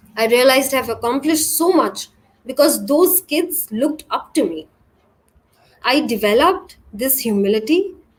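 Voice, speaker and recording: Her voice high in pitch, a woman speaks at a moderate pace with lively intonation. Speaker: tech industry speaker. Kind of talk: conference talk. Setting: virtual event. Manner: halting.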